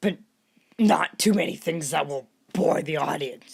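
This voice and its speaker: A put-on character voice at a moderate pace. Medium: read story. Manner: calm.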